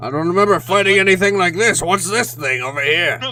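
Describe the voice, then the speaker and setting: A man puts on a character voice, pitched high. He delivers it at a fairly quick pace. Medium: actual play. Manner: blunt, mockingly cheerful.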